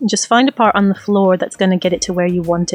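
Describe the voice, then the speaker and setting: Music plays in the background as a woman talks at a very fast pace, the sound dry and close with no echo. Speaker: gaming tutorial creator. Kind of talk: tutorial. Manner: monotone when concentrating.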